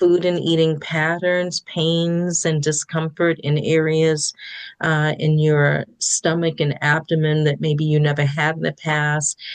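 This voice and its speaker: A woman with a very deep, low pitch speaks at a fairly slow pace in a monotone, flat intonation with very even loudness. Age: 60s. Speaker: therapist. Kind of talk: podcast interview.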